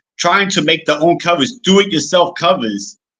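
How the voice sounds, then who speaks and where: A man speaks in a high voice with a bright, sharp tone. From US inner city, Spanish-speaking home. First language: Spanish. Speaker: indie horror author. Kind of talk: casual interview chat. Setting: interview recording. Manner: halting, many repeated words.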